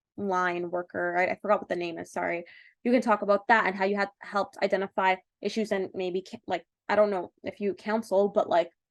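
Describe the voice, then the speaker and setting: A woman with a Canadian accent speaks at a medium pitch and a fairly quick pace, in a monotone, flat intonation. The sound is dry and close with no echo, over a quiet background. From Canada (Toronto). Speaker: medical school admissions consultant. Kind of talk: webinar presentation. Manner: fast; halting with many fillers.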